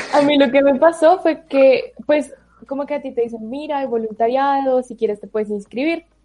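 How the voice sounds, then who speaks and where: Her tone dark and mellow, a woman speaks at a high pitch and a moderate pace with ordinary pitch variation. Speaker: university student. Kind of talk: casual chat.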